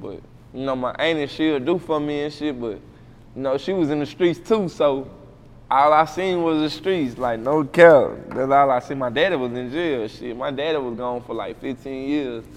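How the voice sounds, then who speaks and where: Speaking with an American accent at a moderate pace, a man has fairly high pitch and ordinary pitch variation. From Waco, Texas. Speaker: rapper. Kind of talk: casual interview.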